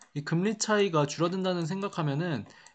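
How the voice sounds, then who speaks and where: Here a man speaks with a high pitch at a moderate pace. The background stays quiet. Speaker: stock market YouTuber. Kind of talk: educational market commentary.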